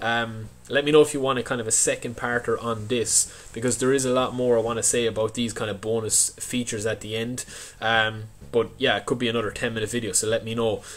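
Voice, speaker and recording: A man with an Irish accent speaks at a fairly quick pace in a medium pitch, his intonation monotone and flat. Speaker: gaming YouTuber. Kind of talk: casual video commentary.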